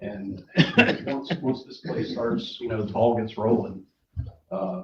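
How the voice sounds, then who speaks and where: With an American accent, a man speaks at a medium pitch and fairly slow pace, his voice shaky and somewhat breathy. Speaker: public commenter at county meeting. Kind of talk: public comment. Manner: shaky, hesitant.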